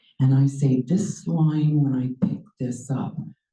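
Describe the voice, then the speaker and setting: Very slowly, a woman speaks with a dark, mellow tone that is somewhat breathy. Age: 60s. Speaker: educator and public speaker. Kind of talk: talk to an audience. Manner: animated.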